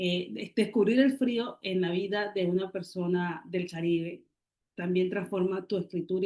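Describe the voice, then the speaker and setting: With an unremarkable speaking voice, a woman talks at a medium pitch and a moderate pace with ordinary pitch variation. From Colombian Caribbean, Barranquilla. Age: 40s. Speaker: writer and poet. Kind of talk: interview.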